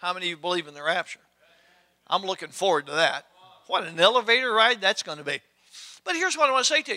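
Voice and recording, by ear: The tone is bright and sharp, the intonation lively. Delivery runs at a fast pace, broken by long, frequent pauses. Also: man, high pitch for a man.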